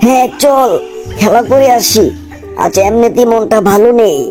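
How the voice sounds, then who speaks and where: A cartoonish character voice talks at a fairly slow pace with a fairly high pitch. Clear music plays in the background. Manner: blustering, irritable.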